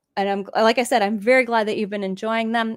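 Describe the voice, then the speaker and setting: A woman with an ordinary speaking voice talks at a fairly high pitch and a fairly quick pace. The recording is very clean, with a silent background and a dry, close sound with no echo. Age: 50s. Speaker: livestreamer discussing TV shows and games. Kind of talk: casual livestream chat, reading viewer comments. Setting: livestream.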